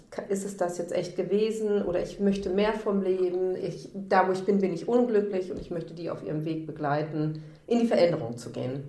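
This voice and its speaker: Someone speaks at a moderate pace with lively intonation amid noticeable background noise and audible room echo. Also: woman. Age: 40s. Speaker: endometriosis patient, social worker. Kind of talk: personal testimony in interview.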